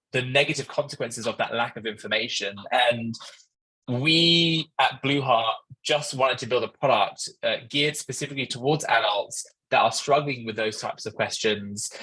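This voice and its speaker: Someone with an English accent talks at a moderate pace. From London, England. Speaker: startup founder. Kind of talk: conference talk. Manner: hesitant, many fillers.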